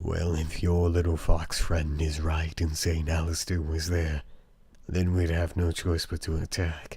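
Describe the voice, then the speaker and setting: A man performs a cartoonish character voice, very deep and low. The recording is very clean, with a silent background. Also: moderate pace. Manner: blunt, impatient.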